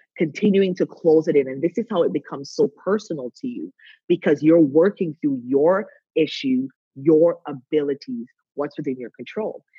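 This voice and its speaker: The pitch swings very widely at a moderate pace. The sound is dry and close, with no echo. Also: woman. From Canada. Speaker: wellness coach. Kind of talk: interview.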